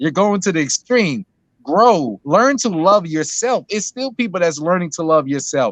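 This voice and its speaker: A man speaks at a moderate pace in a high voice, his intonation lively. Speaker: discussion guest. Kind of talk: casual chat.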